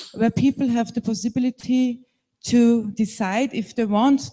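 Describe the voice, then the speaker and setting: Fairly slow speech with a German accent. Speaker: panelist. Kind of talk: panel discussion. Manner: halting.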